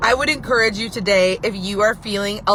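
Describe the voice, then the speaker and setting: A woman's fairly high, animated voice over noticeable background noise. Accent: American. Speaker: business owner, live video host. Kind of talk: casual live video chat.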